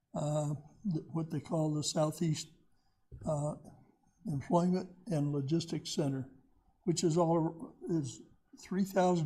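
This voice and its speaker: The pace is very slow, broken by long, frequent pauses. The tone is dark and mellow, with fairly even intonation. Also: man. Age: 80s+. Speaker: retired county economic development director, guest speaker. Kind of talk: presentation. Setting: community meeting with audience. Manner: halting, many fillers.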